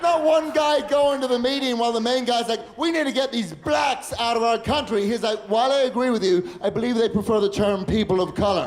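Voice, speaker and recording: Amid noticeable background noise and audible room echo, a man talks at a fairly quick pace in an extremely high voice with ordinary pitch variation. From Northern Ireland and London. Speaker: stand-up comedian. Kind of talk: stand-up. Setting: stage with audience.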